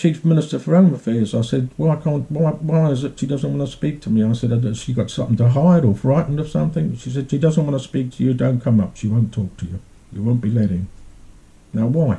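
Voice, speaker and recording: His voice is dark, mellow and somewhat breathy, with a medium pitch for a man. The man speaks at a fairly quick pace with lively intonation. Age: 70s. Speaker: vlogger telling his own grievance. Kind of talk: personal account, monologue. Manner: repetitive, emphatic.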